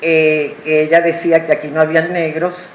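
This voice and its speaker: Noticeable background noise runs through the clip. The pace is fairly slow. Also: woman. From Puerto Rico. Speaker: audience member. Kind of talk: public comment.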